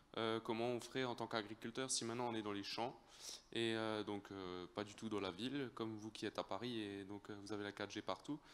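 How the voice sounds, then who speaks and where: Fairly low in pitch, a man talks at a fairly quick pace in an Alsatian accent. His intonation is fairly even. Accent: Alsatian French accent, noticeable. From Alsace, France. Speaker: audience member, farmer. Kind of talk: audience question. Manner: halting, many hesitations.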